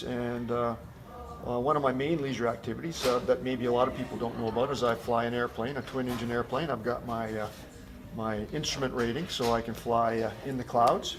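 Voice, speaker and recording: With a Canadian Prairie accent, a man speaks fairly quickly at a medium pitch and fairly even intonation over noticeable background noise. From rural Manitoba, Canada. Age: 60s. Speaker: car dealership general manager. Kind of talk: interview. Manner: hesitant, many fillers.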